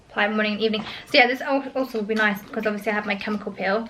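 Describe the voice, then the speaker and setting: A woman speaks in a British accent. Her intonation is fairly even. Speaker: lifestyle vlogger. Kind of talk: casual vlog. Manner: fast; frequent um fillers.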